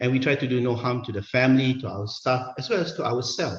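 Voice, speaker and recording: A somewhat breathy male voice of medium pitch at a very fast pace. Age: 50s. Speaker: senior anaesthetist giving a medical talk. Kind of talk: conference lecture. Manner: hesitant, many fillers.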